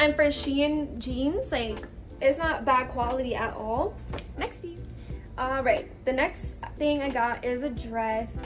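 A woman talks very slowly while clear music sounds in the background. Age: 20s. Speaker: fashion haul vlogger. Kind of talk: casual talk to camera. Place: home room. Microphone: phone near.

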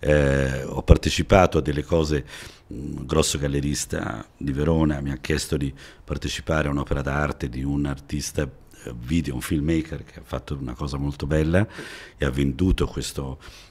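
A man speaks at a very deep, low pitch. His intonation is fairly even and his pace moderate. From Italy, Milan-Sicilian family, born in Florence. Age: 60s. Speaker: TV shopping salesman. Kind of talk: podcast interview. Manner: hesitant, with fillers. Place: studio. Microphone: studio mic.

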